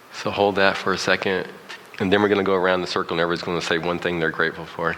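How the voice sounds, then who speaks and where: A man with a very deep, low pitch and an American accent talks very fast in a monotone, flat delivery, with noticeable background noise. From US South. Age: 50s. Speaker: motivational speaker. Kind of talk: guided meditation. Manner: halting.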